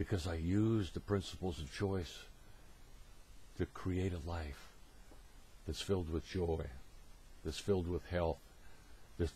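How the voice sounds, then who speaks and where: This man's voice is very deep and low, with a dark, mellow tone. It is somewhat breathy, and its pitch varies in an ordinary way. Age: 70s. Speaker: motivational speaker. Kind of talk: presentation.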